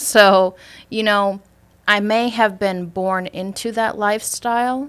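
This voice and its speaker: In a very clean recording with a silent background, a woman with a Wisconsin accent talks at a fairly slow pace and medium pitch, her intonation fairly even. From US Midwest, Superior, Wisconsin. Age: 20s. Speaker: insurance sales agent. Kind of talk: casual interview.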